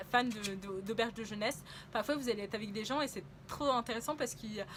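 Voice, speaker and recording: A woman talks at a fairly quick pace and a fairly high pitch. Her pitch varies in an ordinary way. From France. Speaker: travel vlogger. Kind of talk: casual travel vlog monologue. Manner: hesitant, many fillers.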